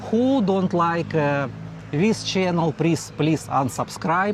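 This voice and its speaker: Noticeable background noise sits under a man speaking at a fairly slow pace. His fairly high voice has lively intonation. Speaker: vlogger. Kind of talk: casual chat. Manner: halting, broken English with fillers.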